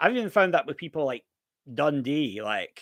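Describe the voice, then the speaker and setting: With a slight Scottish accent, a man speaks in a fairly high voice on a very clean recording with a silent background. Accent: Scottish, mild and somewhat refined. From Scotland, Aberdeen. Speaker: live-stream streamer. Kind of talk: live stream chat. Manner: casual, halting with repetitions.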